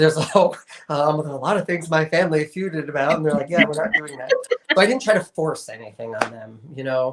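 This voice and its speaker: A man's plain, everyday voice with an American accent, fairly high in pitch and fairly quick, with lively intonation and big swings in loudness. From New York. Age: 40s. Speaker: sustainability advocate. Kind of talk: interview. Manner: casual, conversational.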